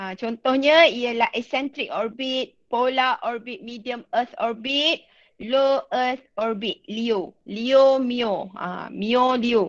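Her pitch is high, and she speaks at a very slow pace with hardly any pauses. The woman is heard against a quiet background. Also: ordinary pitch variation. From Malaysia. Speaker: secondary school physics teacher. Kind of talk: online class lecture. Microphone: video call.

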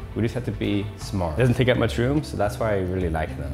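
Clear music plays behind the voice. The speaker is a man. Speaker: fitness vlogger. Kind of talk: casual vlog chat. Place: home room. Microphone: lapel.

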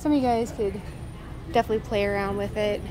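Music plays in the background as a woman talks at a fairly quick pace. The sound is dry, with no echo. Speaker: vlogger. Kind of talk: casual vlog chat. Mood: cheerful, enthusiastic. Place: shop. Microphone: phone near.

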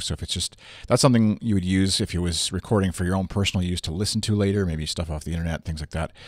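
Ordinary pitch variation on a very clean recording with a silent background. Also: man.

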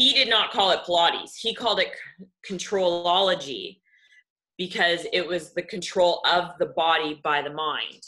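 Slightly low in pitch, a woman speaks with a Canadian accent at a fairly slow pace. Hers is a plain, everyday voice. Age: 30s. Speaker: kinesiologist and Pilates instructor. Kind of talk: online presentation and interview.

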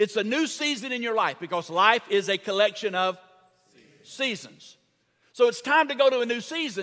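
In a raised, projected voice, a man speaks at a moderate pace with a bright, sharp tone over a quiet background. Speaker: preacher. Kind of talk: sermon. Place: church. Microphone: headset.

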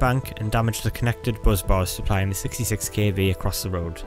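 Over music in the background, a man with a fairly low pitch talks at a very fast pace. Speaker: electrical engineer. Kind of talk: technical explainer narration.

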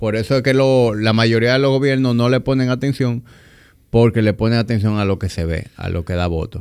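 With a quiet background behind him, a man's words come at a fairly quick pace. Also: ordinary pitch variation. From Dominican Republic. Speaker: podcast host. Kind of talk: interview. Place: studio. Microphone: studio mic.

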